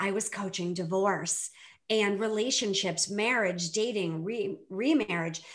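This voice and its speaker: A woman with an American accent has an unremarkable speaking voice at medium pitch. She speaks at a fairly slow pace with ordinary pitch variation. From US Northeast, Boston area. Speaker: divorce coach. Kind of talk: casual interview chat.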